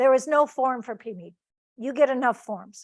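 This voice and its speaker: A woman's high voice at a moderate pace, with fairly even intonation. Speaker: Medicaid paralegal presenter. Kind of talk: webinar Q&A. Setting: video call.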